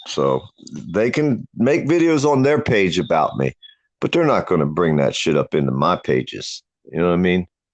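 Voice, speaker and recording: A man speaks at a moderate pace with very wide pitch swings. The sound is dry and close with no echo. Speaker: live stream guest. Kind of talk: casual chat. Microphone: connection cutting out.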